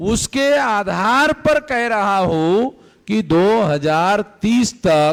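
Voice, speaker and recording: A man is speaking. His pitch swings very widely. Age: 60s. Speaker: activist organisation leader. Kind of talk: political speech.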